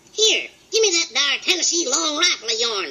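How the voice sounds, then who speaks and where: A squeaky, cartoonish character voice at an extremely high pitch moves at a moderate pace. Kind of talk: cartoon voice comedy. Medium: audio drama. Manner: cocky, excitable, comic.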